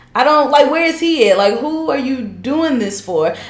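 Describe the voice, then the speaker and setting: In a room with audible echo, a woman speaks at a high pitch. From Charlotte, North Carolina. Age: 30s. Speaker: guest, host's cousin. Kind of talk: casual chat. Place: home room.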